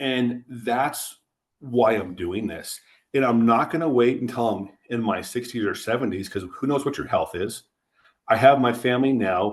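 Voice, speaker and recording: This man has a normal speaking voice at medium pitch, talking at a moderate pace with ordinary pitch variation. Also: quiet background. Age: 40s. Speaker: insurance agency co-owner. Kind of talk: podcast interview. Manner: conversational, with frequent false starts.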